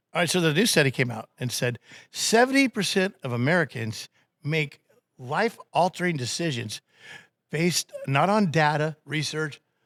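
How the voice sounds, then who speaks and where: A man's plain, everyday voice, fairly high in pitch with lively intonation, at a moderate pace in a dry, close sound with no echo. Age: 50s. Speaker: radio host. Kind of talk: casual chat.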